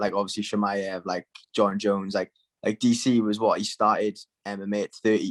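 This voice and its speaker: A man's fairly low voice with a Welsh accent, fairly quick and monotone, flat in intonation, in a dry, close sound with no echo. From Wales. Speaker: MMA fighter. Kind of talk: casual interview. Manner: casual, filler-heavy.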